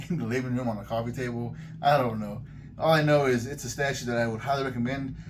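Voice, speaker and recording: A man talks at a very fast pace in a medium pitch with an animated tone. Noticeable background noise and audible room echo surround him. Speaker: collectibles YouTuber. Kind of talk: product review. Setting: in a collectibles store.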